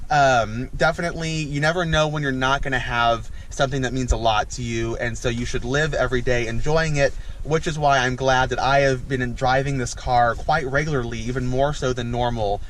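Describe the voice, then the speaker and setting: Fairly quick, fairly evenly intoned speech from a man at medium pitch, with hardly any pauses and audible room echo. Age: 20s. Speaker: car vlogger. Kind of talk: casual vlog. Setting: in a car. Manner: halting.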